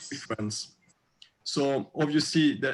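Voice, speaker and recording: A man speaks with a French accent. He keeps a fairly slow pace. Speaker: restaurateur. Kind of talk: casual chat. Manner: halting, many fillers.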